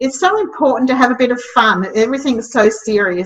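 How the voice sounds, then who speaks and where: This woman talks in an Australian accent. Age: 60s. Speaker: startup mentor and community founder. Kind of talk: interview. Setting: podcast interview. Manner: hesitant, many fillers.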